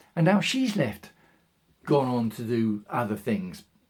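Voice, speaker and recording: Using lively intonation, a man with a medium pitch speaks with an English accent. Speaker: video blogger. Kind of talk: casual monologue. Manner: fast.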